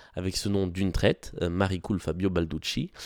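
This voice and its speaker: In a slight southwestern French accent, a man with a very deep, low pitch speaks at a moderate pace, recorded with a dry, close sound and no echo. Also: very clean recording, silent background. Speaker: podcast host, art commentator. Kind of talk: solo podcast talk about exhibitions. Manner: frequent hesitations (euh).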